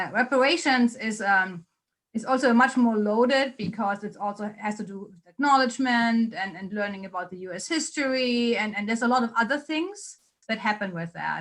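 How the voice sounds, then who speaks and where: Speaking at a fairly quick pace with a German accent, a woman uses a fairly high pitch, ordinary pitch variation and big swings in loudness. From Germany. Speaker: policy researcher. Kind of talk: Q&A after a lecture.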